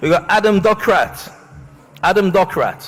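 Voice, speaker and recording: Music can be heard behind the speaker. He is a man whose voice sits high. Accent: northeast English. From northeast England. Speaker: awards ceremony host. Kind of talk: live event hosting. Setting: stage with audience. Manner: jokey, upbeat.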